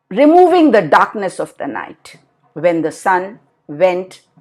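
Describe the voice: Behind this plain reading aloud, the background stays quiet.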